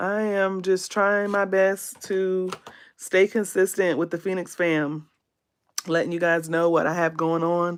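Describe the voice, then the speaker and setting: A woman at medium pitch with an American accent and fairly even intonation, over a quiet background. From US South, South Carolina. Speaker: beauty content creator. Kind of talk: livestream makeup tutorial, casual. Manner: casual, hesitant with fillers.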